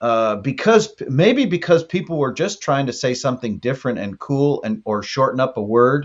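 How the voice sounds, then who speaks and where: A man with a Texan accent talks at a moderate pace with hardly any pauses, his pitch fairly high. His intonation is lively, and the background is quiet. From South Texas. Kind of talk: casual chat.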